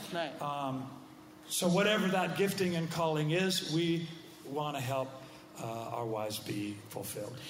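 Moderate speed and lively intonation from a man with a fairly high pitch, noticeable background noise behind. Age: 60s. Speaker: pastor. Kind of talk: casual chat.

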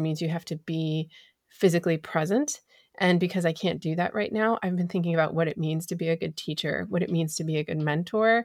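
On a very clean recording with a silent background, a woman speaks very fast at a fairly low pitch with ordinary pitch variation. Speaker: podcast host. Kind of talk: casual chat, podcast interview.

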